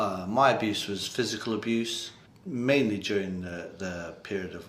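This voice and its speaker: At a fairly slow pace, a man speaks with ordinary pitch variation amid audible room echo. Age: 60s. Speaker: abuse survivor and campaigner. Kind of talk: interview testimony. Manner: hesitant with fillers.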